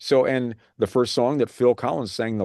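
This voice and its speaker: Against a quiet background, a man speaks at a moderate pace with a dry, close sound and no echo. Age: 60s. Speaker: radio show host. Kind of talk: casual chat. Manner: halting, many fillers.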